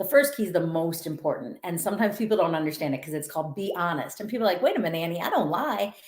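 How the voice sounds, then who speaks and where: A woman speaks very fast with a Minnesotan accent. Her medium-pitched voice has lively intonation. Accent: Minnesota. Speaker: author and motivational speaker. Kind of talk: podcast interview.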